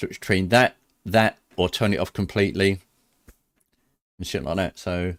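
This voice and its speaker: Speaking at a moderate pace with a British accent, a man keeps a fairly low pitch and fairly even intonation, the sound dry and close with no echo on a very clean recording with a silent background. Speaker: sim racing streamer. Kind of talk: casual livestream commentary. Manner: loud; halting, many fillers.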